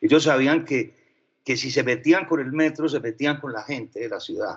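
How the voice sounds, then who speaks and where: A man talks at a fairly quick pace with a Paisa accent and ordinary pitch variation. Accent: Paisa (Antioquia) Spanish. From Medellín, Colombia (from age 12). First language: French (speaking Spanish). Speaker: advertising executive. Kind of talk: interview.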